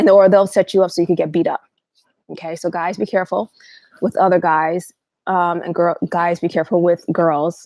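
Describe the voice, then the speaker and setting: A dark, mellow tone at a fairly quick pace with fairly even intonation. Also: woman, fairly low pitch for a woman. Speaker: livestream host. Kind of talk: livestream talk. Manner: fast.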